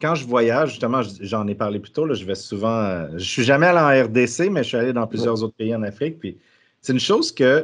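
A man with an unremarkable speaking voice talks at a medium pitch. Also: quiet background. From Quebec. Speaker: podcast host. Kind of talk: casual interview.

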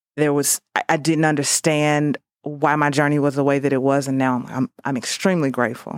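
A woman with a St. Louis accent speaks fairly quickly in a very deep, low voice with fairly even intonation. The recording is very clean and dry, with a close sound, no echo and a silent background. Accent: St. Louis Midwestern American. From US Midwest, St. Louis. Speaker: podcast guest sharing life story. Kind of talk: testimony. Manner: halting.

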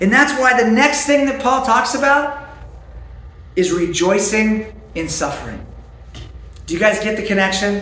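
A man speaks in a raised, projected voice at a high pitch, with lively intonation and a moderate pace. Long, frequent pauses break his speech, and room echo is audible. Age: 30s. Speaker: pastor. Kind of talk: sermon.

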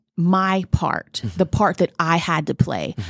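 A woman talks in a normal speaking voice at a fairly low pitch and a fairly slow pace. The recording is very clean with a silent background. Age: 40s. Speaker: podcast co-host. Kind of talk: casual chat.

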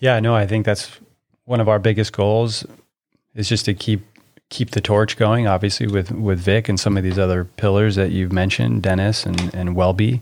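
A man's ordinary speaking voice with an American accent, fairly low in pitch, at a moderate pace with fairly even intonation and very even loudness. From California, Orange County. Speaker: podcast host, tennis coach. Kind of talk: casual chat. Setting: studio.

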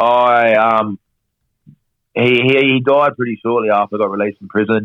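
A man speaks with an Australian accent. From Perth, Western Australia. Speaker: professional boxer. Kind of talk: casual interview chat.

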